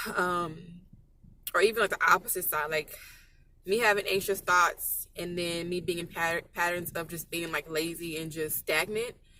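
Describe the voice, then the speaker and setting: Fairly low in pitch, this woman speaks with fairly even intonation. Her tone is bright and sharp. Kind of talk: personal vlog monologue. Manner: fast; emotional, tearful at times.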